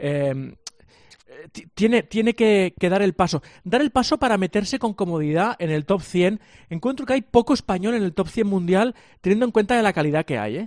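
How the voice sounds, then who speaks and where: Lively intonation at a moderate pace, with a dry, close sound and no echo. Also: man, high pitch for a man. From Catalonia, Sant Cugat. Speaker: sports journalist. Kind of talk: sports radio chat. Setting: remote link.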